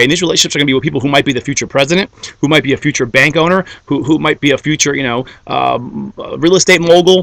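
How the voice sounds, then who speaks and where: A man's fairly high-pitched voice with vocal fry and ordinary pitch variation, in a dry, close sound with no echo. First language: Greek. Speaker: network marketer. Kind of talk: motivational talk. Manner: animated.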